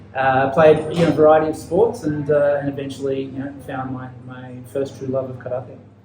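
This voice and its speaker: This man has an Australian accent and a fairly high pitch, with fairly even intonation. His pace is moderate, his loudness swings widely, and background noise is noticeable. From Australia, Ballarat near Melbourne. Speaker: podcast host, physiotherapist. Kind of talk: interview, casual chat. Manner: many filler words and hesitations.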